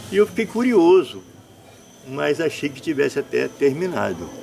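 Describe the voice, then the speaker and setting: A man is speaking. His pace is moderate. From Brazil, northern Rio de Janeiro state (São Fidélis). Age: 60s. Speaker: folk tradition master and performer. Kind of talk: interview. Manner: halting, with repeated words.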